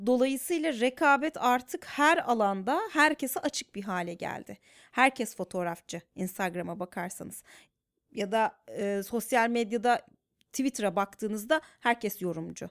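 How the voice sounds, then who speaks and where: With an ordinary speaking voice and a fairly high pitch, a woman talks fairly slowly with lively intonation, in a dry, close sound with no echo. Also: very clean recording, silent background. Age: 30s. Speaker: psychologist working in media. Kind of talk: casual chat.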